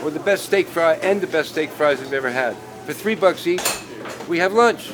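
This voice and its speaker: High in pitch, a man speaks at a moderate pace with ordinary pitch variation against noticeable background noise. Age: 60s. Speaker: painter. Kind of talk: documentary interview and casual narration.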